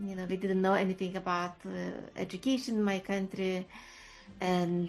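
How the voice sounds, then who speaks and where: Monotone, flat intonation in a woman's medium-pitched voice. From Lithuania. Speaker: HR leader and career coach. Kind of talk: interview. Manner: halting.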